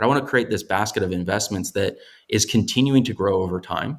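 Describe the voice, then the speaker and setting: On a very clean recording with a silent background, a man with an American accent talks at a very fast pace in a fairly low voice with ordinary pitch variation. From US Midwest, Chicago. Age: young. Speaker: investor and business owner. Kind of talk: interview conversation.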